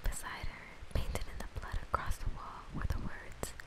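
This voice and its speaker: A woman whispers over noticeable background noise. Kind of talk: slow horror story reading. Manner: soft-spoken, whispery.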